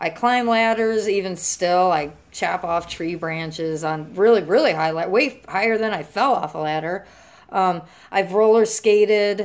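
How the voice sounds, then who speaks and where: The speaker has a plain, everyday voice. Pitch moves normally at a rather unhurried tempo. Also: woman, medium pitch for a woman. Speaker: vlogger sharing injury recovery experience. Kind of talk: casual vlog monologue. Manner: casual, filler-heavy.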